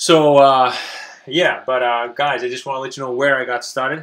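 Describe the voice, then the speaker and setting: A man with a non-native accent talks at a moderate pace in a medium pitch, his intonation monotone and flat. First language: not English. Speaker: online business coach. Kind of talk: webinar presentation. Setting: live webinar stream. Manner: halting, many repetitions and fillers.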